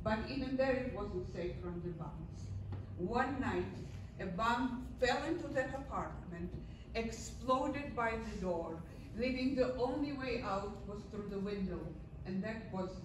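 A woman speaks at a fairly slow pace, with noticeable background noise and audible room echo. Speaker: guest lecturer sharing life story. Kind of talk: lecture. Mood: earnest, solemn.

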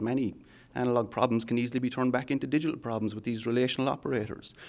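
A man with an Irish accent talks at a very fast pace. His pitch is medium. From Ireland. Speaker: software architect. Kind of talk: technical interview. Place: meeting room. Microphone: handheld.

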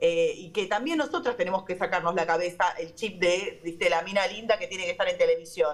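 An unremarkable speaking voice from a woman at medium pitch, fairly quick with hardly any pauses and ordinary pitch variation. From Argentina. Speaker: radio host. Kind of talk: casual chat. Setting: remote call from a radio studio. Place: studio. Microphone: video call.

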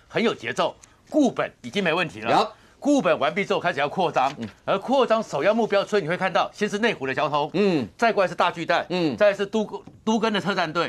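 Using lively intonation, a man talks at a fairly quick pace. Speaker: political commentator guest. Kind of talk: political commentary. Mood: animated analytical. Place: studio. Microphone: lapel.

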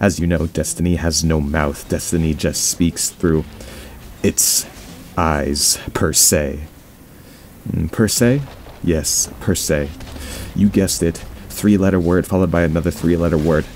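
Speech moves at a fairly slow pace, with long, frequent pauses and very even loudness. Pitch varies in an ordinary way, and background noise is noticeable. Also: man, very deep, low pitch for a man. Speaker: gaming commentator. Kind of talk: quiet gameplay commentary.

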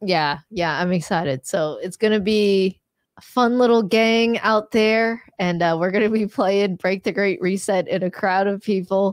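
A woman in a normal speaking voice, medium in pitch with ordinary pitch variation, at a fairly slow pace with hardly any pauses, in a dry sound with no echo against a quiet background. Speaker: livestream host. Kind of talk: casual livestream talk about critical thinking. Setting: online livestream. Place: studio. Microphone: studio mic.

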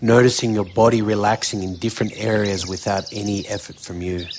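A man speaks in a fairly low, monotone voice with flat intonation and a gentle, soothing tone. Background noise is noticeable. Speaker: meditation guide. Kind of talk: guided meditation. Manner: slow, soothing, calm; gentle, unhurried, with long pauses.

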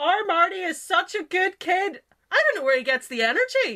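A woman uses a loud, put-on character voice with extremely high pitch and very wide pitch swings. She speaks at a moderate pace. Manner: loud, fussy, hospitable.

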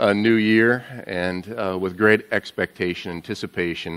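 A man with a plain, everyday voice talks at a fairly low pitch with fairly even intonation. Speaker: pastor giving welcome. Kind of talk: sermon. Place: church.

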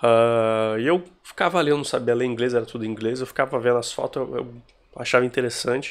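In a very clean recording with a silent background, a man talks very fast at a medium pitch. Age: 30s. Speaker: tech vlogger. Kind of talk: casual vlog monologue. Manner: halting.

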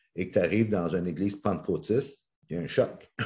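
In a Quebec accent, a man with a dark, mellow tone talks at a moderate pace against a quiet background. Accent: Québécois French. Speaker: motivational speaker and coach. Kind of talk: interview. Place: home room. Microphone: video call.

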